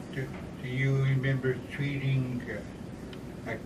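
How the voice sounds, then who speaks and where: At a very slow pace, a man speaks at medium pitch, with noticeable background noise and audible room echo. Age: 60s. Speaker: former patient, visitor. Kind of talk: casual chat. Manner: halting.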